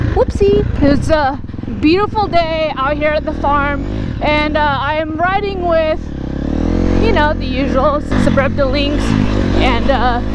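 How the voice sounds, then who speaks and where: Over loud background noise, a woman talks fairly slowly with ordinary pitch variation and long, frequent pauses, the sound dry with no echo. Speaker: motovlogger. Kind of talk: casual vlog chat. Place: motorbike. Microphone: helmet.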